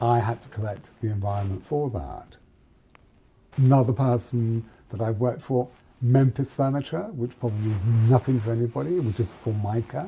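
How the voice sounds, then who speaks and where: A man with a British accent speaks at a moderate pace in a somewhat breathy, dark, mellow voice of medium pitch with ordinary pitch variation. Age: 60s. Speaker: fashion and interior designer. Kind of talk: interview conversation. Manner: halting.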